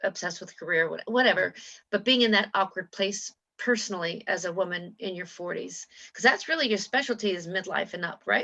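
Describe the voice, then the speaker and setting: Using a normal speaking voice, a woman of medium pitch talks at a fairly quick pace with ordinary pitch variation and big swings in loudness. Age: 60s. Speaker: interview host and coach. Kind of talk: interview.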